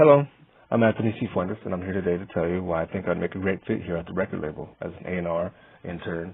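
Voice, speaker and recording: Speaking very fast, a man with an American accent uses a very deep, low pitch and ordinary pitch variation. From US, rural northeastern Montana (Fort Peck Reservation). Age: 30s. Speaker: job applicant, music producer and military veteran. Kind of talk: recorded application presentation. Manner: informal, halting with restarts.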